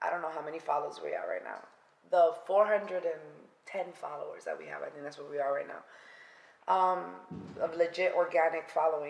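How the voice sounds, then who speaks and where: Pausing long and often, a woman with a New York accent keeps a moderate pace while her loudness swings widely. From New York City (Bronx). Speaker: podcast co-host. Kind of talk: casual chat. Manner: animated.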